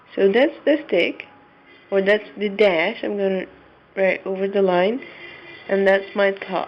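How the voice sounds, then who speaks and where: Pausing long and often, a woman speaks at a fairly slow pace and medium pitch with ordinary variation, against noticeable background noise. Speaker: Arabic teacher. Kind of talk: tutorial.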